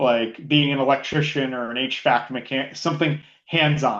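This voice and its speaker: A man's voice sits at a medium pitch. The intonation remains fairly even. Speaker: IT director. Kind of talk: interview. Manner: loud.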